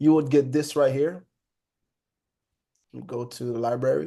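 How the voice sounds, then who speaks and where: With a Haitian accent and a dark, mellow tone, a man with a fairly high pitch speaks with long, frequent pauses against a quiet background. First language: Haitian Creole. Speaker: trading educator. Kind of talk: live online trading class. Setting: video call. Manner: casual, conversational.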